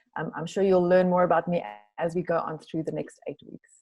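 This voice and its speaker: In a South African accent, a woman speaks with a fairly low pitch and a dark, mellow tone. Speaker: meditation teacher, retreat center co-director. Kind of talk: online class introduction.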